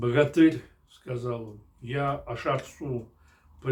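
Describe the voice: Someone reads the text aloud plainly. Their intonation is fairly even throughout.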